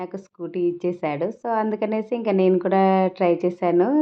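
The intonation stays fairly even. It belongs to a woman speaking at a medium pitch. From Telangana, India. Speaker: vlogger. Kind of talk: travel vlog narration. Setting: outdoors, touring streets and shops.

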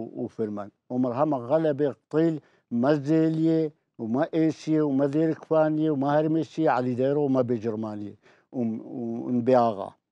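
At a very slow pace, a man talks in a fairly high pitch with a dark, mellow tone, the sound dry with no echo over a quiet background. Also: ordinary pitch variation. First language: Turoyo (Neo-Aramaic) (speaking Arabic). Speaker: elderly storyteller recounting village history. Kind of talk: oral history interview. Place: studio. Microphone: lapel.

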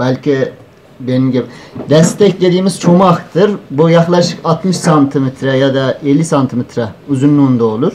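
The speaker has an Uzbek accent, with light background noise behind the voice. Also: man, ordinary pitch variation, moderate pace, very even loudness. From northern Afghanistan (Uzbek community). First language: Uzbek (speaking Turkish). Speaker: student presenter; presenter. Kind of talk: conference paper presentation. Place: hall. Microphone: handheld.

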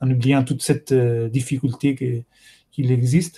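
A man with an Italian accent, somewhat breathy and dark, mellow in tone, monotone and flat in intonation, at a very slow pace over a quiet background. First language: Italian (speaking French). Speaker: course host, moderator. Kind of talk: live-streamed course moderation. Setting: video conference livestream. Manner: halting, many hesitations. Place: home room. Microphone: webcam.

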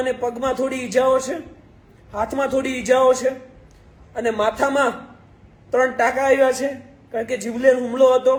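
A man with an extremely high pitch speaks in a monotone, flat intonation. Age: 20s. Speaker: lawyer and social media activist. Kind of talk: live video address. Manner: impassioned.

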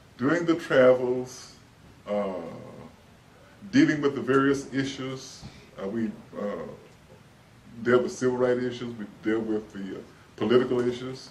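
A man with a Texan accent speaks at a fairly slow pace with ordinary pitch variation and long, frequent pauses. His loudness swings widely over light background noise. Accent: Texan Southern American English. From Dallas, Texas. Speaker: oral history interviewee. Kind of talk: oral history interview answer. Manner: hesitant, many fillers. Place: office.

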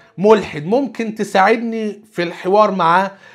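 A high-pitched man's voice with an Egyptian accent against a quiet background. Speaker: Islamic preacher. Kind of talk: religious lecture. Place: studio.

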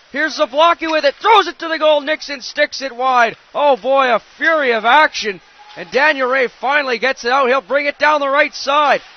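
Over noticeable background noise, a man with an extremely high pitch speaks at a moderate pace with ordinary pitch variation. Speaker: hockey play-by-play commentator. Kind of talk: live sports commentary. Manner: excitable, animated on saves and goals.

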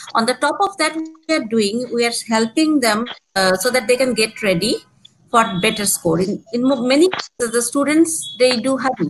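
Over noticeable background noise, a woman with a Bangladeshi accent speaks at a high pitch with very even loudness. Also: lively intonation, moderate pace. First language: Bengali. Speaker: exams business development manager. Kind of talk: live webinar Q&A. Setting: video call. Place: home room. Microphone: video call.

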